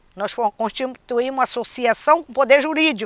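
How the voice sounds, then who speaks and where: The woman's voice is high-pitched, with a bright, sharp tone and lively intonation. The sound is dry and close, with no echo. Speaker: quilombo community member. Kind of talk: testimony.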